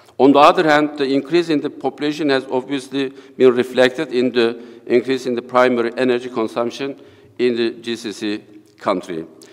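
Speaking against a quiet background, a man has a medium pitch. He keeps a moderate pace with ordinary pitch variation. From Turkey. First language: Turkish. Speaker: economics professor. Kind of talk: conference paper presentation. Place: hall. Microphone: podium.

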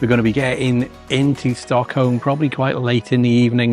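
Over faint background music, a man talks at a fairly quick pace in a dry sound with no echo. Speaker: travel vlogger. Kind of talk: casual vlog chat. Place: hall. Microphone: phone near.

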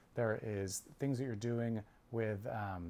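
Fairly slow speech from a man, ordinary pitch variation throughout. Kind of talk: informational talk to camera. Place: office. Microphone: lapel.

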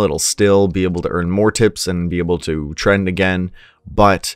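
Faint music plays behind a man with a very deep, low pitch. He keeps a moderate pace and fairly even intonation, and the sound is dry with no echo. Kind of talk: tutorial. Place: home room. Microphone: studio mic.

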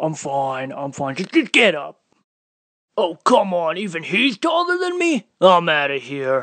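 Using a cartoonish character voice, a man speaks in a high pitch at a fairly slow pace. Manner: exasperated.

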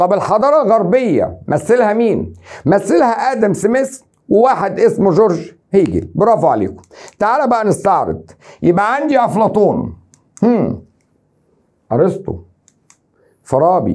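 A man with an Egyptian accent speaks at a fairly slow pace in an animated tone. He leaves long, frequent pauses against a quiet background. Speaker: teacher. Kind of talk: exam review lecture. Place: studio. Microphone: lapel.

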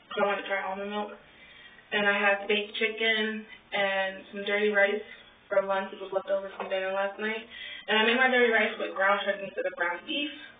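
Over music in the background and audible room echo, a woman at medium pitch talks at a fairly quick pace in a monotone, flat intonation. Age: 20s. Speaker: weight-loss vlogger. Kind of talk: casual chat. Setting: home, alone at night. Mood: candid, a bit frustrated.

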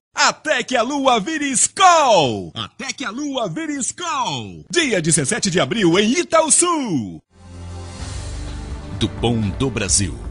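Music plays behind a man who speaks at a very slow pace. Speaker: voice actor; journalist. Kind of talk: party event promo.

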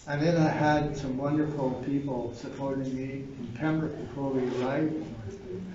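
Over light background noise and audible room echo, a man with a Canadian accent speaks at a fairly slow pace in a fairly high pitch with ordinary pitch variation. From Ottawa Valley, Ontario, Canada; Ontario, Canada. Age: 80s+. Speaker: painter. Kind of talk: speech at an event. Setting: gallery reception with audience. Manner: halting. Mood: warm, grateful. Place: hall. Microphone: camera far.

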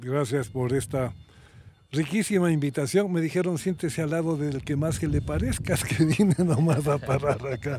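Somewhat breathy, with a dark, mellow tone, a man speaks at a fairly high pitch and moderate pace with ordinary pitch variation, in a dry sound with no echo and light background noise. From Ecuador, Quito; Ecuador. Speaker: doctor; podcast guest. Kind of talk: casual conversation. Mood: warm, joking. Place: open country. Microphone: studio mic.

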